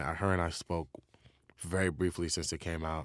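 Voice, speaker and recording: A man with a very deep, low voice speaks with a New York accent at a moderate pace. His intonation is fairly even, and the recording is very clean with a silent background. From New York, Queens. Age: 30s. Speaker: rapper. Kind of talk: interview.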